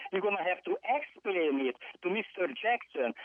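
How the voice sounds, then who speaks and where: In an angry tone, the speaker talks at a fairly slow pace with a non-native accent. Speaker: public commenter caller. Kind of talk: public comment. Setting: phone call. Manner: angry, forceful.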